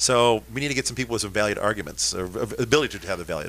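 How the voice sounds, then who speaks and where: Very fast speech from a man, with vocal fry and very wide pitch swings. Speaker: radio host. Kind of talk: casual chat. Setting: studio.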